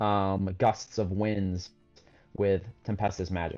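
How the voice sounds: The reading is done in a natural reading voice.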